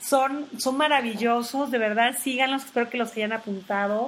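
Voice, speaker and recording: Noticeable background noise behind a high-pitched woman, her delivery fairly slow and her pitch variation ordinary. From Tabasco, Mexico. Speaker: health coach and podcast host. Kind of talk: casual informative talk. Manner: hesitant, many fillers.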